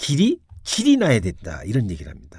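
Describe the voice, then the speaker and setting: This man's voice is dark and mellow with some breathiness, and he keeps a moderate pace. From Korea, Seoul. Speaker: radio host giving Buddhist talks. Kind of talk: Buddhist dharma talk on radio.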